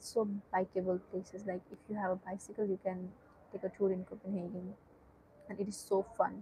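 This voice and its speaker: In a Nepali accent, a woman speaks at a medium pitch and fairly quick pace with monotone, flat intonation. Her dark, mellow tone is somewhat breathy. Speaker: student streamer. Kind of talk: casual live-stream chat. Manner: hesitant, with many fillers.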